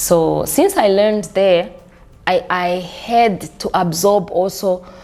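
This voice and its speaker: A woman speaks at a medium pitch and a very slow pace. There is noticeable background noise. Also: fairly even intonation. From Burundi, then South Africa from 16. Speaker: diaspora member sharing life story. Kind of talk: interview. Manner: halting, repeats words.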